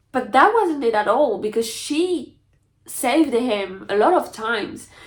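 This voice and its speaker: Speaking at a fairly slow pace, a woman with a French accent uses lively intonation. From France. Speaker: book youtuber. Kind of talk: casual chat. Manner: animated.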